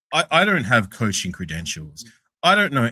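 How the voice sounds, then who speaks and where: A man with an Australian accent and a bright, sharp tone, his pitch swinging very widely, in a very clean, dry, close recording with no echo and a silent background. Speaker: sports podcast panelist. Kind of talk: casual chat. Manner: halting.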